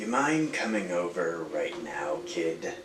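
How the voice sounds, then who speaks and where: A man does a cartoonish character voice at a medium pitch and a fairly slow pace. Background noise is clearly heard. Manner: pushy, insistent.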